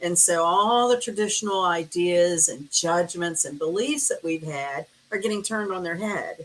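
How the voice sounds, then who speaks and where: With an American accent and an unremarkable speaking voice, a woman talks at a moderate pace and fairly low pitch, using lively intonation and hardly any pauses. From US South. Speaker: astrologer. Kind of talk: casual interview chat.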